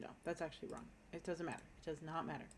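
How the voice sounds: A woman speaks at a very fast pace. Her pitch is low and her intonation fairly even.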